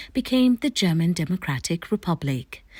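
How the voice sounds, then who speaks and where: A woman's somewhat breathy, fairly low voice with very wide pitch swings, on a very clean recording with a silent background. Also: dry, close sound with no echo. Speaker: interviewer, host. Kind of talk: documentary narration.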